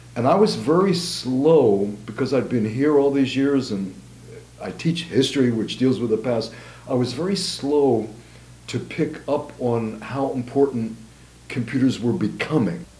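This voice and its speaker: Audible room echo around a man talking at a fairly slow pace, medium in pitch and ordinary in pitch variation. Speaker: history professor. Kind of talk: interview. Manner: measured, conversational. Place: home room.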